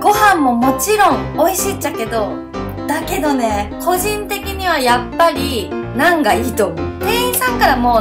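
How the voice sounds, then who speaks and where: A woman speaks with a Fukuoka accent. Clear music plays in the background. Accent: Hakata dialect. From Hakata, Fukuoka. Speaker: food vlogger. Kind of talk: casual food review vlog. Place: cafe. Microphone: phone near.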